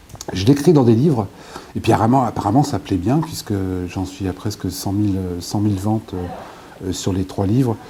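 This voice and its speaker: With noticeable background noise behind him, a man speaks at a fairly low pitch with ordinary pitch variation. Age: 60s. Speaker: author and former local politician. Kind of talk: interview. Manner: fast.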